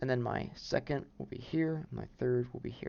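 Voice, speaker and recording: This is a man speaking. His pitch is medium. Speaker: peer math tutor. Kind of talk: tutorial. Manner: hesitant, many fillers.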